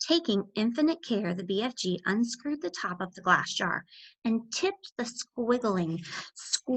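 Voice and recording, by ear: Read aloud in a natural voice with lively intonation, against a quiet background.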